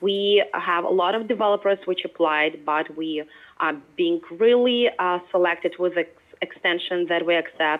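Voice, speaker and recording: A Ukrainian accent with ordinary pitch variation at a moderate pace. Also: woman, fairly low pitch for a woman. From Ukraine. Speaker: product manager. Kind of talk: presentation. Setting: remote call played through a speaker.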